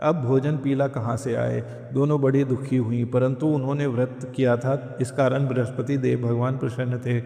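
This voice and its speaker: A calm-toned man at medium pitch, monotone and flat, with hardly any pauses and music in the background. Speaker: devotional chant and story reader. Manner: calm, devotional.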